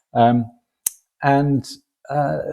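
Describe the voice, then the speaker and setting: A man with a northern English accent talks in a relaxed, dark, mellow tone with ordinary pitch variation. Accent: northern English short A's. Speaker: crime novelist, retired economist. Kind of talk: podcast interview. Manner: relaxed, with frequent fillers.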